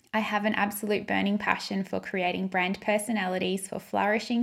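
Fairly quick and fairly even in intonation, a woman speaks at a medium pitch with an Australian accent. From Queensland, Australia. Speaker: podcast host and brand stylist. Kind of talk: podcast monologue.

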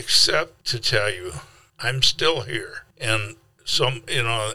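A man speaks at a very slow pace. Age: 70s. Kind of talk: interview, storytelling.

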